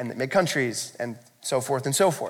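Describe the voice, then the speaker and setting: The speaker has an American accent and lively intonation. The pace is fairly quick. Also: man. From US. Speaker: pastor. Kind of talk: sermon. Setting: church. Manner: fast talker.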